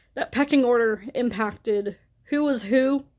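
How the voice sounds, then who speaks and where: An ordinary speaking voice with an American accent, a fairly slow pace and ordinary pitch variation. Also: woman. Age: 30s. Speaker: vlogger. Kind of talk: storytime rant.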